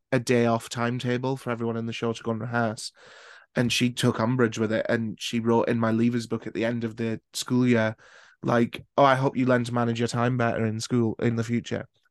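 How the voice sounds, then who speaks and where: A man with a Scottish accent, medium pitch, fairly quick pace, monotone, flat intonation and a quiet background. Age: 20s. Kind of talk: casual chat; scripted narration.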